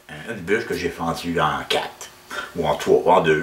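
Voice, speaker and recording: A man's very deep, low voice in a monotone, flat intonation at a fairly slow pace, over noticeable background noise. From Quebec. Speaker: woodturner. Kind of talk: tutorial. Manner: halting.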